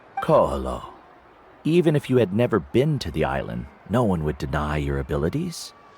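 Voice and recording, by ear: A man puts on a character voice with extremely low pitch, big pitch swings, a slightly mellow tone and a slightly husky edge, talking at a moderate pace.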